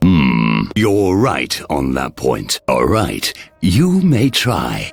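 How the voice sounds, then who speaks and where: A man puts on a cartoonish character voice, very deep and low, speaking at a very slow pace with very wide pitch swings. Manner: condescending, imperious.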